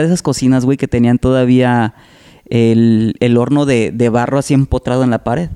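This man talks at a fairly quick pace in a dark, mellow tone, recorded with a dry, close sound and no echo. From Salamanca, Guanajuato, central Mexico. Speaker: entertainer and TV/radio host. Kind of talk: casual chat.

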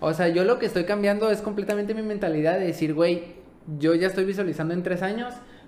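A man speaks at a very fast pace with a high pitch. Audible room echo and noticeable background noise surround him. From Mexico, Baja California Sur. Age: 20s. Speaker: paralympic swimmer. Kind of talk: casual interview.

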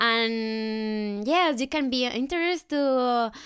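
Speaking very slowly with a Spanish accent, a woman with a fairly high voice and ordinary pitch variation comes through in a very clean recording with a silent background. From Colombia. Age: 20s. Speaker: au pair. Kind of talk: casual chat.

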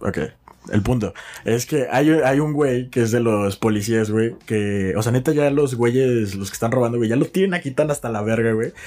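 A man speaks at medium pitch. Noticeable background noise runs behind him. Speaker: podcast co-host and producer. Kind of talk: casual chat.

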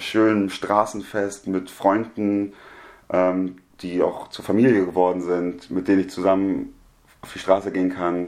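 A man's fairly low-pitched, normal speaking voice, fairly slow in pace and with fairly even intonation. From Germany. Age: 20s. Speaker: media studies student. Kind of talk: casual chat.

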